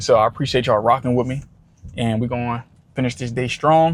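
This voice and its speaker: He has an ordinary speaking voice, medium in pitch for a man, with fairly even intonation. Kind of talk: casual vlog talk to camera.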